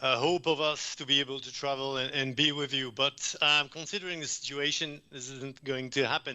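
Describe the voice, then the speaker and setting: Speaking with a French accent, a man talks at a fairly quick pace with hardly any pauses, his pitch fairly high and his intonation fairly even. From France. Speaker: environmental consultant presenter. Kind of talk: conference presentation. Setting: video call.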